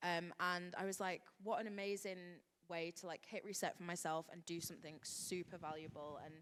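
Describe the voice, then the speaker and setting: Flat, monotone intonation comes through at a moderate pace in a northern English accent. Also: woman. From West Yorkshire, northern England. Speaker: hair expert, panelist. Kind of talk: panel discussion.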